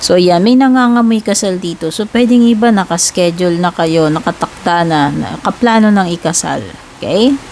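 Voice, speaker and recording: A woman speaks loudly with lively intonation. Noticeable background noise is present. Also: medium pitch for a woman, moderate pace. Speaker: tarot reader. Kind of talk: tarot reading. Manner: cannot speak loudly; casual, chatty with fillers.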